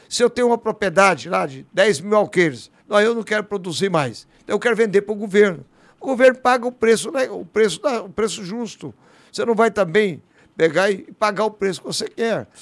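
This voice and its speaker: Recorded very cleanly against a silent background, a man with a high pitch speaks at a moderate pace with ordinary pitch variation. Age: 60s. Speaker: politician. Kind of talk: interview.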